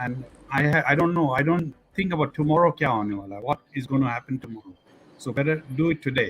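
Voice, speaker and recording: A somewhat breathy man at fairly high pitch, with ordinary pitch variation and a fairly quick pace. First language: Sindhi. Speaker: talk show host. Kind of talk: casual chat.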